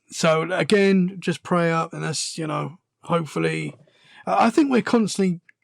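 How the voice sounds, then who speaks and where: Very clean recording, silent background, and a man's moderate pace. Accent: British. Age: 30s. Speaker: podcaster, guest. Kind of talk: casual interview chat.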